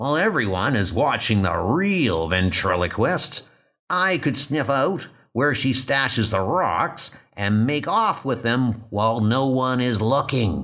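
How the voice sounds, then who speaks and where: Using a put-on character voice, a man talks at a medium pitch and a fairly slow pace. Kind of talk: comic book dub, dramatic reading.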